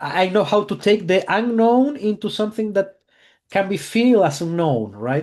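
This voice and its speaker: Against a quiet background, a man with a non-native accent talks at a moderate pace. His pitch is high, and his intonation is lively. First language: not English. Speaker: mentalist. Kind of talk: casual chat.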